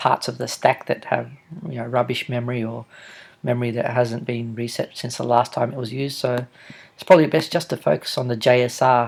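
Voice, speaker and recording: Talking at a fairly quick pace, a man with an Australian accent uses a medium pitch and fairly even intonation. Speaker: software developer. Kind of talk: tutorial. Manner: halting.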